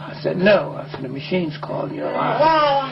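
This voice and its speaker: Music plays in the background as a man speaks. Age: 70s. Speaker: transit station manager. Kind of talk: news interview answer.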